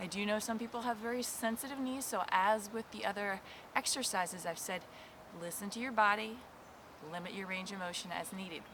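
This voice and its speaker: A woman's medium-pitched, upbeat voice at a moderate pace, with ordinary pitch variation. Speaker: qigong instructor. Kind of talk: guided movement class instruction. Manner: encouraging, upbeat.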